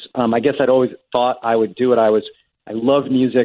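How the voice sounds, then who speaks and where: A plain, everyday voice from a man at a medium pitch, moving at a fairly quick pace. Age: 50s. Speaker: screenwriter and TV producer. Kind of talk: interview.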